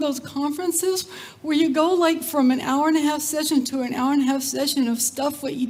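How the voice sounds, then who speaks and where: A woman with an American accent, high-pitched with ordinary pitch variation, at a fairly quick pace, amid audible room echo and noticeable background noise. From Texas, Cajun family background. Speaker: community development leader, speaker. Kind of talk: conference talk. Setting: stage with audience. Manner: animated.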